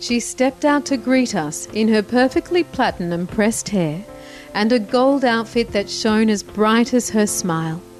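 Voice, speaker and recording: A woman with a fairly high pitch speaks at a moderate pace with lively intonation and very even loudness. Music plays behind her. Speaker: TV show host. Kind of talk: TV documentary narration.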